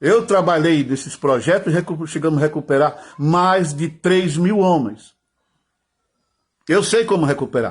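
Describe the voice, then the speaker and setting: A man with an unremarkable speaking voice talks at a fairly slow pace and a fairly high pitch, with ordinary pitch variation and very even loudness over a quiet background. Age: 60s. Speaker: pastor. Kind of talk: sermon.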